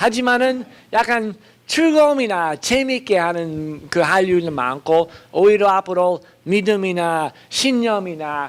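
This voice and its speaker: With a non-native accent, a man speaks very slowly in a high voice that makes very wide pitch swings. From foreign country (non-Korean). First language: not Korean (speaking Korean). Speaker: professor. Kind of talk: lecture. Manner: halting, many fillers.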